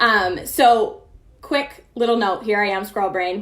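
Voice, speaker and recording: A woman at a moderate pace with audible room echo. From Maine. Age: 20s. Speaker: fitness coach. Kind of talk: training webinar.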